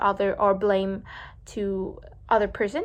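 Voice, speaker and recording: A woman with a Vietnamese accent, medium pitch, flat monotone intonation and a fairly slow pace, on a very clean recording with a silent background. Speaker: vlogger practicing English speaking. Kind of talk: speaking practice monologue. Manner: halting, many fillers and restarts.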